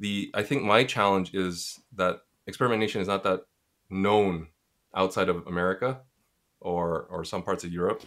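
In a very clean recording with a silent background, a man with a Montreal accent speaks at a fairly low pitch with fairly even intonation and long, frequent pauses. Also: moderate pace. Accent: Canadian English (Montreal). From Montreal, Quebec, Canada. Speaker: community founder and podcast host. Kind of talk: casual interview answers.

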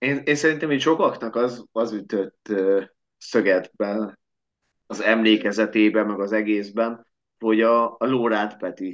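Against a quiet background, a man with an unremarkable speaking voice talks at a fairly slow pace and medium pitch with fairly even intonation. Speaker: podcast host, sports fan. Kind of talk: casual sports podcast chat.

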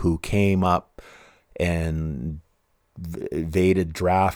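On a very clean recording with a silent background, a man speaks in a Western Canadian accent with a very deep, low pitch. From Canada, Vancouver (East Van). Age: 50s. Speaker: podcast host. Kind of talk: casual monologue.

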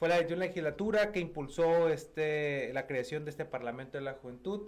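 Using ordinary pitch variation, a man speaks in a plain, everyday voice. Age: 30s. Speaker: state legislator. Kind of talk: radio interview. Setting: radio studio.

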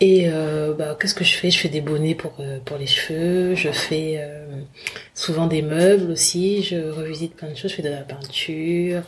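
With audible room echo and noticeable background noise, a woman speaks fairly slowly at a very deep, low pitch and with fairly even intonation. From Republic of the Congo, then France from about age 11. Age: 30s. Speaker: fashion brand founder. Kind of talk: interview testimony. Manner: hesitant, many fillers.

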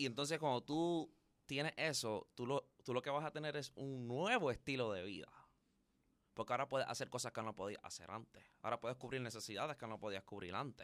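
A man's unremarkable speaking voice sits at medium pitch, moving fairly quickly with ordinary pitch variation. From Puerto Rico, Carolina. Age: young. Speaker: loctician. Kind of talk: interview.

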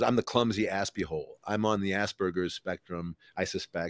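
Recorded very cleanly with a silent background and a dry, close sound with no echo, a man speaks at a moderate pace with ordinary pitch variation. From Ohio, US Midwest. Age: 50s. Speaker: comedian and author. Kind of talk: casual interview chat. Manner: halting, many fillers and repeats.

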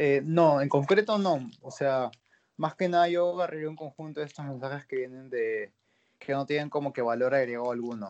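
Moderate pace, ordinary pitch variation, and a fairly high pitch from a man. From Peru. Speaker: singer. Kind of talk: interview. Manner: halting.

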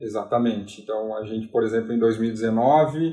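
A man at a medium pitch and moderate pace, somewhat breathy, with a dark, mellow tone and fairly even intonation. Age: 30s. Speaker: port terminal sales manager. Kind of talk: interview.

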